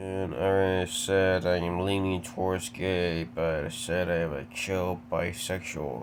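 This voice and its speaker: Audible room echo surrounds a man speaking with a very deep, low pitch. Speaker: YouTuber. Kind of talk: casual Q&A monologue. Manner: halting.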